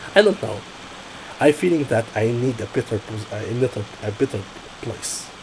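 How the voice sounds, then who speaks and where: Speaking at a moderate pace with an Arabic accent, this voice leaves long, frequent pauses over noticeable background noise. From Egypt. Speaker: process safety engineer, job candidate. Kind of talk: job interview. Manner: halting, with frequent self-corrections.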